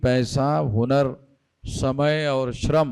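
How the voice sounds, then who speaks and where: A man with a fairly high pitch and an unremarkable speaking voice. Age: 60s. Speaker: activist leader. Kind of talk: speech to rally.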